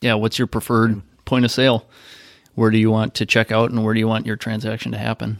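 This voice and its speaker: The delivery is very fast with monotone, flat intonation. The sound is dry and close with no echo, in a very clean recording with a silent background. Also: man, medium pitch for a man. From US Midwest. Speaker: convenience retail industry guest. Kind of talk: interview.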